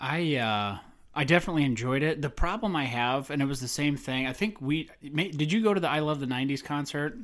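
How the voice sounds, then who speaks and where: A man with an unremarkable speaking voice talks at a fairly high pitch and fairly quick pace. His intonation is lively, and the recording is very clean with a silent background. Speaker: podcast host. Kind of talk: casual banter about movies.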